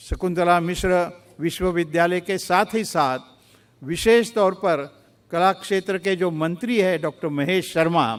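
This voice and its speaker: With ordinary pitch variation, a man talks in a high pitch. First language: Marathi (speaking Hindi). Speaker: chief guest dignitary. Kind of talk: formal address. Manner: formal; halting.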